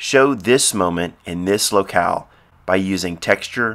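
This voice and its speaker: At a fairly slow pace, a man with a fairly low pitch and ordinary pitch variation speaks in an unremarkable speaking voice. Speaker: photographer and author. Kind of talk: audiobook-style instructional reading.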